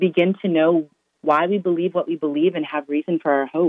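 With an American accent, a woman speaks at a fairly low pitch. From Massachusetts. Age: 20s. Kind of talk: interview.

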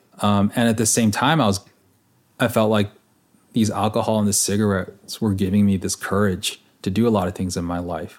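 An unremarkable speaking voice at a fairly quick pace, fairly even in intonation, on a very clean recording with a silent background. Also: man, fairly low pitch for a man. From Los Angeles area, California (San Gabriel Valley). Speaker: former drinker recounting recovery. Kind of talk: casual interview conversation.

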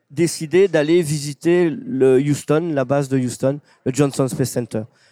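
This man has a fairly high pitch, a dark, mellow tone and lively intonation. He speaks fairly slowly, and the sound is dry and close with no echo. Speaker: space enthusiast and author. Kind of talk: casual interview. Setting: brasserie.

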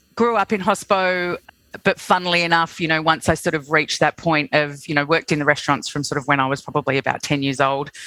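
A woman with an Australian accent talks at a very fast pace, her very deep, low pitch paired with a bright, sharp tone. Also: ordinary pitch variation, dry, close sound with no echo, very clean recording, silent background. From Australia, Sydney. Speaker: hospitality group CEO. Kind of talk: casual interview.

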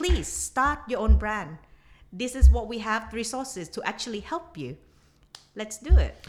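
A woman with a Thai accent speaks at a fairly slow pace, her loudness swinging widely. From southern Thailand (Nakhon Si Thammarat). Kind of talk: casual chat. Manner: halting.

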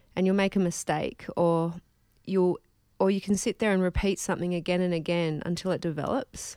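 A woman speaks at a moderate pace in a medium pitch with a dark, mellow tone. The recording is very clean, with a silent background. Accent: Australian. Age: 30s. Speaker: musician. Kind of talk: casual interview. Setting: face-to-face recording.

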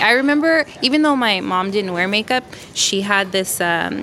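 A woman of medium pitch with an American accent at a fairly quick pace, over noticeable background noise. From Los Angeles, US. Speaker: makeup artist. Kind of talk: interview. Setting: in a store.

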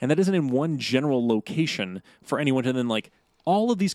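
A man's voice with very wide pitch swings, a dry, close sound with no echo, and a very clean recording over a silent background. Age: 30s. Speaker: podcast co-host. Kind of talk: casual chat.

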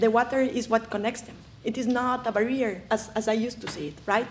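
Against noticeable background noise, a woman with a Spanish accent speaks at a moderate pace in a fairly high pitch. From Ecuador, highlands. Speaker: conservationist. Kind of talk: lecture. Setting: stage with audience.

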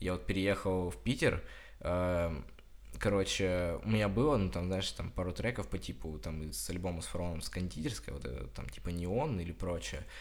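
With lively intonation and vocal fry, a man talks at a moderate pace in a very deep, low voice, with audible room echo. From Russia, Krasnodar Krai (Kuban). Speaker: student podcaster. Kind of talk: casual chat.

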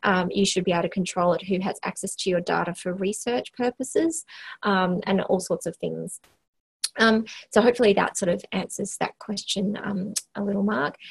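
A somewhat breathy woman at a moderate pace with ordinary pitch variation, dry and close with no echo. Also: medium pitch for a woman. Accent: Australian. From Western Australia, small country town. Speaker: health organisation CEO, former occupational therapist. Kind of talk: interview. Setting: office, remote call.

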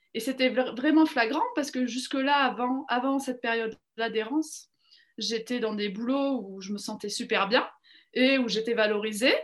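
Her voice raised and projected, a woman with a high pitch speaks at a fairly slow pace. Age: 30s. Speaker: education professional. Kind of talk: interview testimony. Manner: halting, many fillers.

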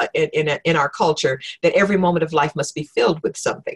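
A woman with an American accent has a somewhat breathy voice pitched fairly low. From Oklahoma, US South. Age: 60s. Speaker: retired professor of spiritual formation and preacher. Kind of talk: casual interview. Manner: halting, with fillers and repetitions.

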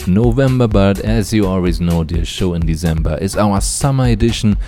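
Against music in the background, a man with a very deep, low pitch speaks at a moderate pace, his pitch swinging very widely. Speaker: radio host. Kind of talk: radio DJ patter introducing tracks. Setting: radio studio. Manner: upbeat, smooth, friendly.

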